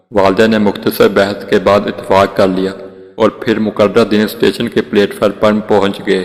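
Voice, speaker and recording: Over noticeable background noise, a man speaks at a fairly low pitch. His intonation is monotone and flat, and his loudness stays very even. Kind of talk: emotional Islamic story narration.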